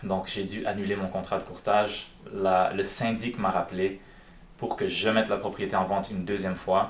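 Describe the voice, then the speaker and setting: Fairly even intonation from a man, fairly low-pitched, at a moderate speed. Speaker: real estate broker. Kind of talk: live stream with phone calls. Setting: live stream. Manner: casual, conversational.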